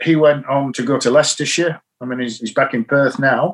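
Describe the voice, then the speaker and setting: Here a man speaks in a Yorkshire accent. His pitch is fairly high, with ordinary pitch variation. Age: 60s. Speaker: cricket coach. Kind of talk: interview. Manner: calm.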